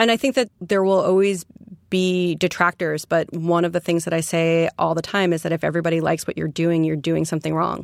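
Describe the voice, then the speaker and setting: A woman with an American accent talks in a plain, everyday voice, fairly low-pitched, at a fairly quick pace with fairly even intonation and very even loudness. The recording is very clean with a silent background and a dry, close sound with no echo. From New York City, Queens. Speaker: gallerist and entrepreneur. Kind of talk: interview. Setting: studio.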